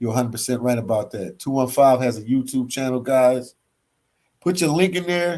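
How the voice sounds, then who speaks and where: A man with an American accent talks fairly quickly at a medium pitch with ordinary pitch variation. The recording is very clean, the background silent. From Philadelphia, US East Coast. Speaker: travel vlogger. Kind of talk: livestream chat reading comments. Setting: hostel library, livestream. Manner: casual, relaxed.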